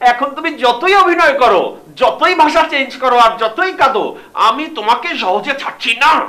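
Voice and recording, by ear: In a put-on character voice, a man talks at a moderate pace with an extremely high pitch, a bright, sharp tone and lively intonation.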